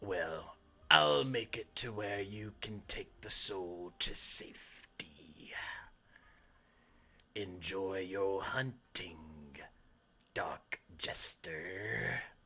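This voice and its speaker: A man does a raspy put-on character voice, fairly low in pitch, at a very slow pace with long, frequent pauses. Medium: actual play. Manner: sly, bargaining.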